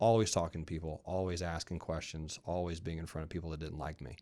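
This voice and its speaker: In an American accent, a man speaks at a fairly quick pace on a very clean recording with a silent background. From US South, rural Georgia. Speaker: podcast co-host. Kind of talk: casual chat. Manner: confident.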